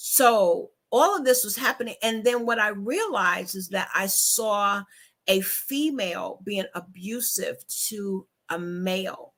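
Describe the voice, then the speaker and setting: Music in the background behind a woman's fairly high, fairly slow voice with ordinary pitch variation. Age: 60s. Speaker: book talk host. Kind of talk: casual chat.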